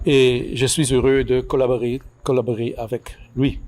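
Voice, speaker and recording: Over music in the background, a man with a medium-pitched voice speaks at a very slow pace. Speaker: book author, labour historian. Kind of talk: formal speech at book launch. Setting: event with audience. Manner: halting, many hesitations and repeated words.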